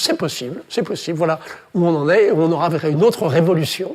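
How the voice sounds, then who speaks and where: The man talks at a fairly quick pace. His voice is high-pitched with ordinary pitch variation. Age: 80s+. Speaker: childbirth researcher. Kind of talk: talk to an audience. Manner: halting.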